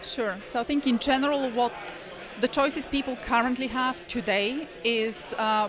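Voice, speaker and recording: With a high pitch and ordinary pitch variation, a woman talks at a moderate pace. Her loudness stays very even, though there is noticeable background noise. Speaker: blockchain developer at a conference. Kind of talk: interview. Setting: conference event. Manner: soft-spoken; hesitant, many fillers.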